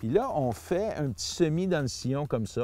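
Dry with no echo, a man with a Quebec accent speaks in a dark, mellow tone with very wide pitch swings. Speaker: seed grower and gardener. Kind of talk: tutorial. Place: garden.

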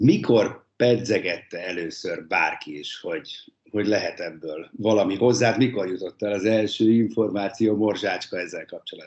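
Over a quiet background, a man speaks at a fairly slow pace with big swings in loudness. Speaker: sports show host. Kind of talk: interview. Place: home room. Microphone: video call.

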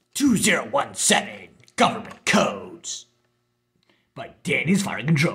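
A raspy, put-on character voice at a middle pitch moves at a very slow pace, broken by long, frequent pauses. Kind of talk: imitation of infomercial voice. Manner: salesy, exaggerated, announcer-style.

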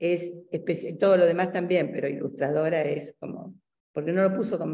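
A woman's dark, mellow voice at a fairly quick pace, with ordinary pitch variation, against a quiet background. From Argentina. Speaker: university lecturer. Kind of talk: academic interview. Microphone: video call.

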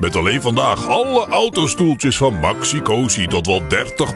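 A man speaks at a fairly slow pace, the sound dry with no echo. Clear music plays in the background. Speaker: voice actor. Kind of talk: retail sale commercial. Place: booth. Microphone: studio mic.

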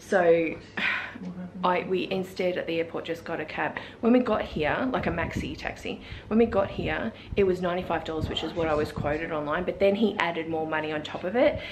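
At a moderate pace, a woman speaks in a fairly low voice with ordinary pitch variation. Noticeable background noise can be heard. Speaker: travel vlogger. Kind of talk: casual vlog chat. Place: home room. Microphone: phone near.

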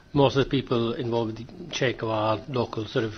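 A man speaks at a fast pace. His pitch sits in the medium range.

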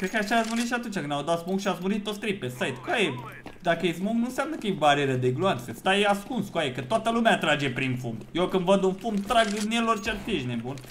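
Over light background noise, a man talks at a very fast pace and a high pitch, with very wide pitch swings. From Romania. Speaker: gaming YouTuber; gaming streamer. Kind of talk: live gameplay commentary. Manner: animated. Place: home room.

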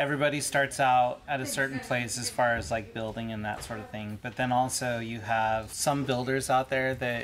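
Over light background noise, a man talks with fairly even intonation and hardly any pauses. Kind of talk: interview answer. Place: workshop.

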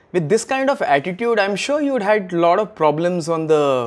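A man's high voice with very wide pitch swings, at a moderate pace. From India. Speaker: comedian and cricket show host. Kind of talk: comic monologue with impressions; casual chat. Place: studio.

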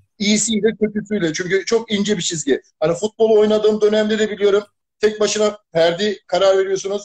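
Hardly pausing, a man talks at a fairly quick pace in a high pitch with fairly even intonation, the sound dry and close with no echo. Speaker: football fan caller. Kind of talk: live-stream call-in chat. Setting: video call on a live stream.

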